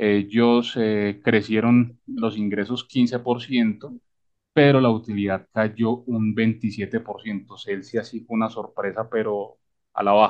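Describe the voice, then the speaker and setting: A man talks at a medium pitch and a very slow pace. His intonation is monotone and flat. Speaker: stock market podcast host. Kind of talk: casual chat.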